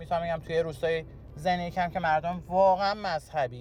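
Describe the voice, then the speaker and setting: Over music in the background, a man with a fairly high pitch speaks at a moderate pace with fairly even intonation. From Iran, Tehran. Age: 20s. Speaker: interviewee sharing life story. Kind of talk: personal testimony interview. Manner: hesitant, halting.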